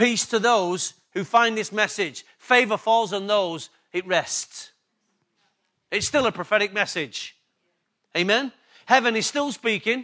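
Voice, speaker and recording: A man's raised, projected voice in an English accent, high in pitch with a bright, sharp tone, ordinary pitch variation, a fairly slow pace and long, frequent pauses, over a quiet background. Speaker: pastor. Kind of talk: sermon. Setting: church.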